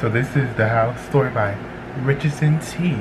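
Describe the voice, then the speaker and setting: A man talks with ordinary pitch variation as loud background noise plays around him. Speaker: reaction video creator. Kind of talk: casual vlog chat. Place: home room. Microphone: webcam.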